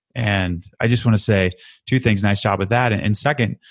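This man has a plain, everyday voice with a fairly low pitch and fairly even intonation. He talks at a moderate pace against a quiet background. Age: 30s. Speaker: podcast host and recovery advocate. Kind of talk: casual interview.

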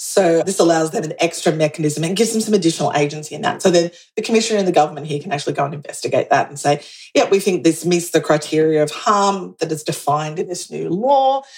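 A woman with an Australian accent, fairly low pitch and lively intonation, at a very fast pace. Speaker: community manager and consultant. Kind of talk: interview podcast.

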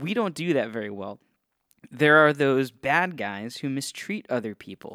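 Recorded very cleanly with a silent background and a dry, close sound with no echo, a man with an American accent speaks at a moderate pace in a fairly high, bright, sharp voice, with lively intonation and big swings in loudness. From Northeast Ohio. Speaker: podcast host. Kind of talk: casual solo talk on theology. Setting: podcast studio. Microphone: testing a new studio's equipment.

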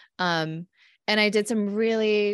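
This woman speaks with a West Coast accent and fairly even intonation. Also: dry, close sound with no echo. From California. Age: 40s. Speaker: psychologist and author. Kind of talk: podcast interview. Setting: remote call.

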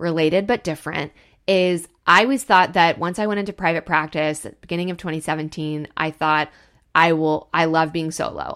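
The recording is very clean, with a silent background. A woman with a fairly low pitch and ordinary pitch variation speaks in an animated tone at a moderate pace. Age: 30s. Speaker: podcast host and therapist. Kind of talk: solo podcast monologue. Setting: outdoors, birds audible.

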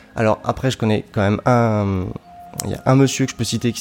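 A man talks fairly quickly at a fairly low pitch with fairly even intonation. Noticeable background noise runs underneath. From France, southern Brittany. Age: 30s. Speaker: electronic music composer and sound designer. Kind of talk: interview. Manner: halting.

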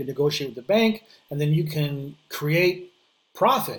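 A man with a plain, everyday voice talks with a fairly high pitch and lively intonation. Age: 50s. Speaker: real estate investor. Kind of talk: podcast interview.

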